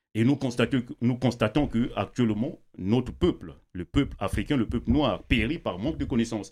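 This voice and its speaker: A normal speaking voice at a moderate pace, with ordinary pitch variation. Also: man, medium pitch for a man, hardly any pauses. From Congo. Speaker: writer and YouTuber. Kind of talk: debate discussion.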